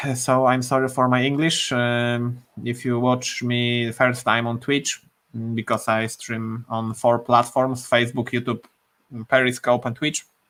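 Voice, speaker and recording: A man talks at a fairly slow pace in a Polish accent. His pitch is medium, and his intonation is flat and monotone. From Poland. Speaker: programmer live streamer. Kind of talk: live coding stream. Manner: halting, many fillers.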